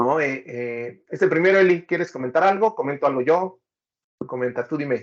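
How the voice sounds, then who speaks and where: This man speaks with a Mexican accent at a fairly high pitch. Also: lively intonation, moderate pace. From Mexico. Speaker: data professional, book reviewer. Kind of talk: casual conversation, book review.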